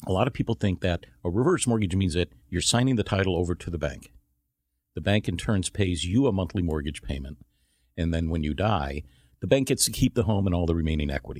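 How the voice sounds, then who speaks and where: A man with an American accent speaks fairly quickly in a very deep, low pitch with lively intonation, in a very clean, dry, close recording with a silent background and no echo. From Chicago, US Midwest. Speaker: reverse mortgage professional. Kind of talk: radio interview.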